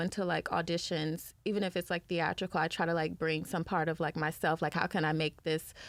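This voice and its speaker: A woman's fairly low, monotone, flat voice with an American accent, very fast, on a very clean recording with a silent background. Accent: Southern accent, coming through now. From US South. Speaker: actress. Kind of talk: casual chat.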